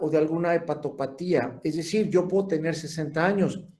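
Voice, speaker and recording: The tone is dark and mellow, at a fairly slow pace. Audible room echo surrounds the voice. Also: man. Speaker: lecturer in gerontology and geriatrics. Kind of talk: lecture.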